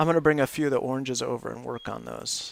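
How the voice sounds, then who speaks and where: A man talks in a relaxed tone at a medium pitch, with vocal fry. The recording is very clean, with a silent background. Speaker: livestreamer doing a jigsaw puzzle. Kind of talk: casual live stream chat. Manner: mellow, not excited; relaxed, with many fillers.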